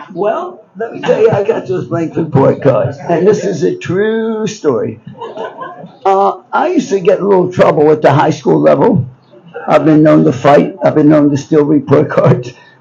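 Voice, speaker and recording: At a moderate pace, someone with an American accent speaks over noticeable background noise. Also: man. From Baltimore, Maryland, US. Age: 80s+. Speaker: businessman and book subject. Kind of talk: storytelling. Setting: bookshop event with live audience. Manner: rambling, halting.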